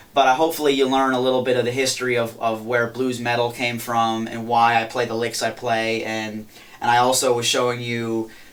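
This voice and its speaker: Noticeable background noise runs under a man's voice. He talks fairly quickly at a medium pitch, his intonation monotone and flat. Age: young. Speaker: touring blues guitarist. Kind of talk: interview. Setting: studio. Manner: fast.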